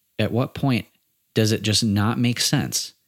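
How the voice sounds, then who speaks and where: Fairly low in pitch, a man talks at a moderate pace with ordinary pitch variation. The recording is very clean, the background silent. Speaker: podcast host. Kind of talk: solo monologue podcast. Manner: pauses a lot.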